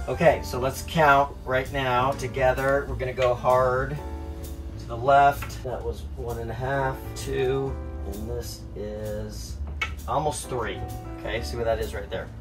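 Clear music sits in the background. The speech moves at a fairly slow pace. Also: man. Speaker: boat owner vlogger. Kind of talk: casual vlog chat. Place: boat. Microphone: phone near.

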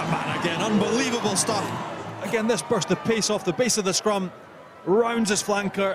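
A man speaks at a moderate pace with a high pitch and an enthusiastic tone. Noticeable background noise runs behind him. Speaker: co-commentator, rugby analyst. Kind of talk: live sports co-commentary, analysis. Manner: enthusiastic, emphatic analysis.

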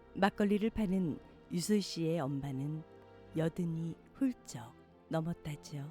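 The talking is very slow. Background music accompanies it. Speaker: poetry reader. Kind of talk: poetry reading.

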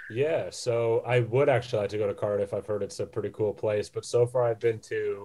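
A man with an American accent, a dark, mellow tone, somewhat breathy delivery, medium pitch and ordinary pitch variation. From United States. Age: 20s. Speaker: boxing ring announcer. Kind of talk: interview answer.

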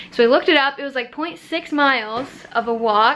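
Her pitch sits high. The woman's pitch variation is ordinary. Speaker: vlogger. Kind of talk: casual vlog chat. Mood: amused, storytelling. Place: home room. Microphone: phone near.

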